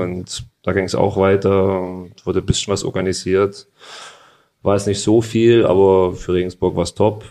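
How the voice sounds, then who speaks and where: With a slight Saxon accent, a man speaks in a dark, mellow, flat monotone at a moderate pace against a quiet background. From Saxony, Freiberg. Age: 30s. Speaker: football goalkeeper. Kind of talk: interview.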